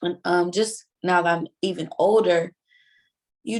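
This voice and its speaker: The speaker has a Southern US accent and a very slow pace. Intonation stays fairly even. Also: woman. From US South, Mississippi Gulf Coast. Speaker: interviewee, film participant. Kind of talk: casual interview.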